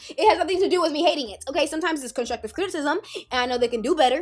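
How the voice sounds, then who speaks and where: A woman talks in an animated tone with lively intonation. Music plays in the background. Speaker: Sims YouTuber. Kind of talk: casual vlog commentary. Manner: fast.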